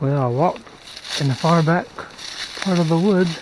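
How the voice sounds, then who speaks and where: Noticeable background noise behind a man at a moderate pace, his pitch variation ordinary. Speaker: metal detecting hobbyist vlogger. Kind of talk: casual outdoor vlog narration. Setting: outdoors in woods. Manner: relaxed, filler-heavy.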